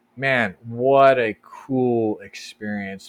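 Using a plain, everyday voice, a man talks with an American accent at a medium pitch with ordinary pitch variation. The sound is dry and close, with no echo. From US, Colorado. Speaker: expat nonprofit manager. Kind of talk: casual interview.

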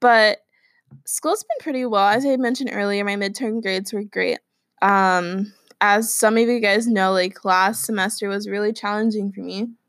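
This woman has a plain, everyday voice, a medium pitch, and fairly even intonation at a moderate pace. The recording is very clean, with a silent background. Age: young. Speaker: solo podcast host. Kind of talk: casual monologue.

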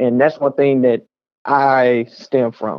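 A man talks at a medium pitch with fairly even intonation. His is an ordinary speaking voice. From Texas, Waco. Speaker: rapper. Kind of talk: interview.

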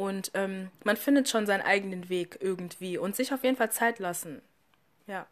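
A woman speaking at a moderate pace with ordinary pitch variation. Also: medium pitch for a woman. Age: 20s. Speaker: student and model. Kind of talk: casual interview. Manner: hesitant, many fillers.

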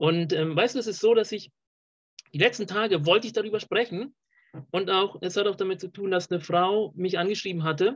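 The pace is fairly quick. Pitch moves up and down in an ordinary way. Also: man, high pitch for a man. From Colombia. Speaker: podcast host. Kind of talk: casual interview chat. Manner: halting, many fillers.

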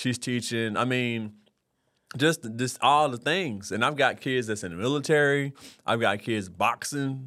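With an American accent, a man talks at a medium pitch. His pitch varies in an ordinary way. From Oklahoma. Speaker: teacher. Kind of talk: casual interview chat. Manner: fast talker.

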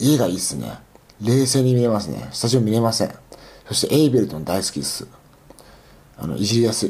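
A man's medium-pitched, somewhat breathy voice, dark and mellow, very fast, with lively intonation and long, frequent pauses. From Aichi, Japan. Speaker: podcast host. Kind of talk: casual solo monologue. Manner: halting, many fillers.

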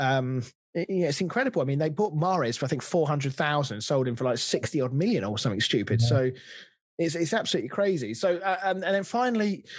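Someone with an English accent talks at a very fast pace with very wide pitch swings, recorded very cleanly against a silent background. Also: man, fairly high pitch for a man, very even loudness. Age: 30s. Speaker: football podcast host. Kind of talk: casual chat.

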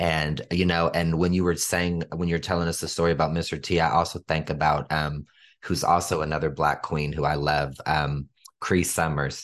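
Against a quiet background, a man with a very deep, low pitch talks at a moderate pace in an enthusiastic tone, his loudness very even. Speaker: podcast host. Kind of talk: casual interview.

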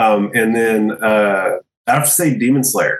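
At a fairly slow pace, a man with a medium pitch speaks in a normal speaking voice. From Texas (small town). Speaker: podcaster, studio owner. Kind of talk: casual chat.

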